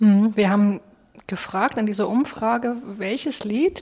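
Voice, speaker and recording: Somewhat breathy and in a Saxon accent, a woman speaks with a fairly high pitch, a dark, mellow tone and ordinary pitch variation. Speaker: pastor, podcast co-host. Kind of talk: podcast discussion.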